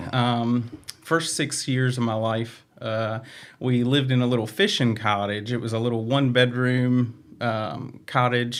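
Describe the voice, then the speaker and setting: At a fairly slow pace, a man with a Southern US accent speaks in a medium pitch with fairly even intonation. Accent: Southern US accent, noticeable. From Virginia, Franklin County near Roanoke. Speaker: staff member and stand-up comedian. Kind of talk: personal testimony in interview. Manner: hesitant, many fillers.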